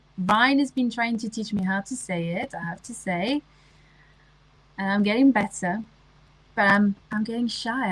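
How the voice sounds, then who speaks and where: At a moderate pace, a woman with a French accent sounds somewhat breathy, her pitch fairly high. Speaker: livestreamer. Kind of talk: casual chat.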